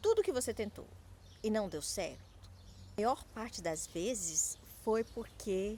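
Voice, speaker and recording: A woman speaks at a very slow pace. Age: 30s. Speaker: small business coach. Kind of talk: motivational talk to camera. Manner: halting, repeats and clips words.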